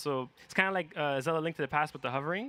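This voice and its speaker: With a non-native accent, a man speaks in a bright, sharp tone at a fairly high pitch, his intonation fairly even, on a very clean recording with a silent background. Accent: non-native accent in English and French. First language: neither English nor French. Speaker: speedrunner. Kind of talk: live game commentary. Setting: event stage with audience.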